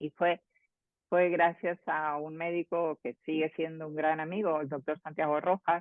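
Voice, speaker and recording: The speaker is a woman. Her very deep, low pitch holds a monotone, flat line. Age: 60s. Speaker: transpersonal psychologist and author. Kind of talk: interview. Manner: halting, with many fillers and repetitions.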